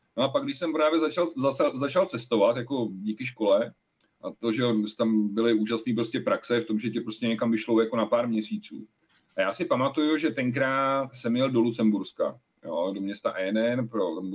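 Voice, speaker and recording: A man talks in a normal speaking voice at medium pitch and a moderate pace. His pitch varies in an ordinary way. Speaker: podcast co-host. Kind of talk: casual chat.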